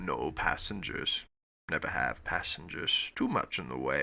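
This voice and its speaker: A man's gruff, growling put-on character voice at a moderate pace. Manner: curt, blunt.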